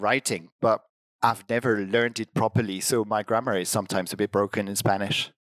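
A man with a French accent at a moderate pace, fairly low in pitch with fairly even intonation, in a dry, close sound with no echo. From France. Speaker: language teaching director. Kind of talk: interview conversation. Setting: online video call.

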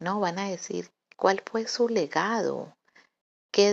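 A woman talks very slowly, her medium pitch showing ordinary variation. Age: 40s. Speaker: podcaster. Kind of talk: reflective monologue. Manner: halting.

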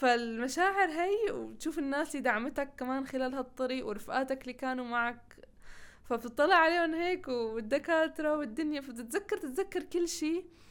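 Lively intonation at a moderate pace, with a Levantine accent. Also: woman, high pitch for a woman. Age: 20s. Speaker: engineering graduate. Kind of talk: interview.

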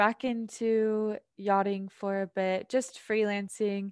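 A woman's medium-pitched voice with an American accent, flat monotone intonation, and a very slow pace against a quiet background. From Idaho. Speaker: poet and yoga instructor. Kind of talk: casual interview chat.

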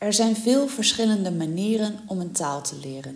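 Through audible room echo and noticeable background noise, a woman speaks at a fairly slow pace with ordinary pitch variation. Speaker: language teacher. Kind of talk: tutorial. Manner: clear.

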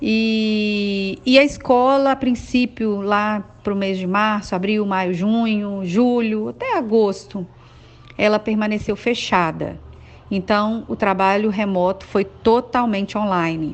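Very slowly and with fairly even intonation, a woman speaks at a fairly high pitch. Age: 40s. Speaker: schoolteacher. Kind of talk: testimony. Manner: hesitant, with filler sounds.

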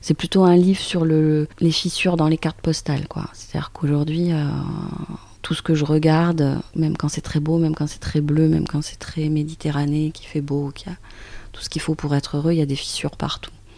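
Monotone, flat delivery from a woman with a very deep, low pitch at a fairly quick pace. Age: 50s. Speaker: author. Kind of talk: interview. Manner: hesitant, with frequent repetitions.

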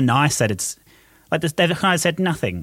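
The speaker is a man with an Australian accent. He keeps a moderate pace and lively intonation. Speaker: podcast host. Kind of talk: casual chat. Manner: animated.

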